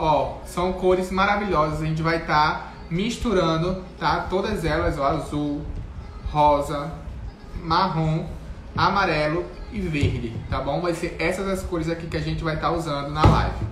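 A man's fairly high voice at a fairly slow pace, with audible room echo and light background noise. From Paraíba, Brazil. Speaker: cake decorator teaching a class; cake decorating instructor. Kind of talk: live-stream tutorial; tutorial. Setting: live stream. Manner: animated. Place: kitchen. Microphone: phone near.

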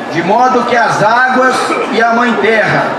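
Audible room echo over loud background noise. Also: man. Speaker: event reader. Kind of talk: formal declaration read aloud. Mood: solemn, earnest. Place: stage.

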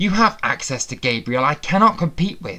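A put-on character voice growls at a moderate pace. Its pitch swings very widely. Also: man. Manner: snarling.

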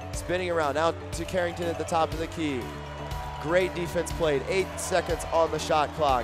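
A man talks fairly slowly. Music can be heard behind him. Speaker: play-by-play broadcaster. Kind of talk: live commentary. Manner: animated.

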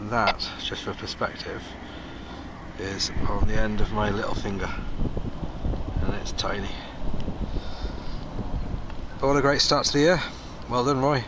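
Long, frequent pauses break up a man's speech. The sound is dry with no echo, though there is noticeable background noise. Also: moderate pace. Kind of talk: casual vlog commentary. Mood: pleased, excited about find. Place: open country. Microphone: phone near.

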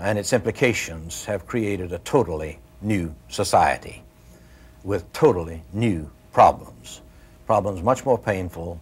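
A man's somewhat breathy voice sits at a fairly low pitch with ordinary pitch variation. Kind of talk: interview answer. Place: home room. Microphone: lapel.

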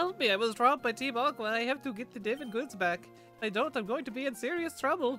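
A man performs a put-on character voice at an extremely high pitch and a very fast pace. Music plays clearly in the background. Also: ordinary pitch variation. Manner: pleading, worried.

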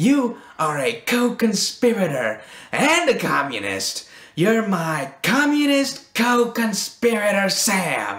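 The speaker's pace is fairly slow, the pitch is middle, and the pitch swings are very wide.

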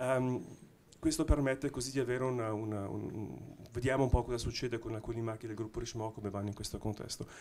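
The pace is very fast as a man talks. Fairly even intonation marks his delivery. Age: middle-aged. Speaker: watch brand technology executive; panelist. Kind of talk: panel discussion. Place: hall. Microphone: handheld.

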